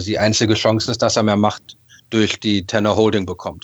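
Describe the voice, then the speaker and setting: In an ordinary speaking voice, a man talks at a fairly low pitch and a moderate pace. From Berlin, Germany (Westend, Charlottenburg). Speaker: football fan. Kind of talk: casual chat. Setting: video call.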